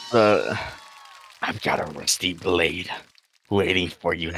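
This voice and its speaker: In a put-on character voice, a man speaks very slowly with a raspy, very deep, low pitch. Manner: menacing, sinister.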